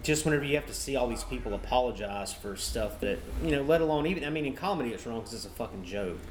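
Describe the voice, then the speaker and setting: Very rapid speech from a man, hardly any pauses, noticeable background noise behind him. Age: 30s. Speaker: stand-up comedian. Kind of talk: casual chat. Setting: outdoor porch, live-streamed.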